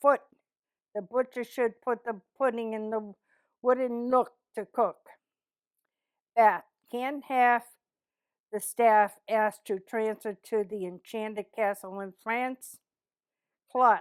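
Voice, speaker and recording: A woman with a Boston accent, fairly high in pitch, at a very slow pace with long, frequent pauses and fairly even intonation, in a dry, close sound with no echo. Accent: Boston, non-rhotic. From East Boston, Massachusetts. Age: 70s. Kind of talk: reading a word list.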